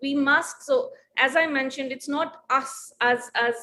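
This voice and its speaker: A woman speaks in a raised, projected, high-pitched voice with lively intonation. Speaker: international justice expert, panel speaker. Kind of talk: panel presentation.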